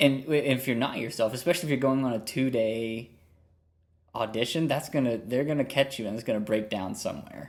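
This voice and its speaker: Medium-pitched male voice with an American accent and ordinary pitch variation. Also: fairly quick pace. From northern US. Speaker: podcast host, music teacher. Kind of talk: podcast interview.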